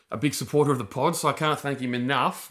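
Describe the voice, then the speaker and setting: Bright and sharp in tone, a man speaks with an Australian accent. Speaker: podcast co-host. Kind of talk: casual chat.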